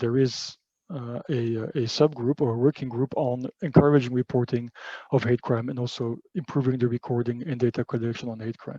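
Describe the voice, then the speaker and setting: A man speaks at a medium pitch with ordinary pitch variation and a dark, mellow tone, recorded dry and close with no echo. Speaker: panelist from an EU agency. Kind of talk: webinar presentation. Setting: online webinar with interpreters. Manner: fast; halting, many fillers.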